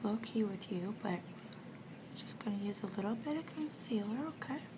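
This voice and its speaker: A soft-spoken woman with a gentle tone, a fairly high pitch and ordinary pitch variation, over noticeable background noise. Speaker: ASMR artist playing a makeup artist. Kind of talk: ASMR roleplay, soft-spoken talk to the listener. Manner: soft-spoken, gentle.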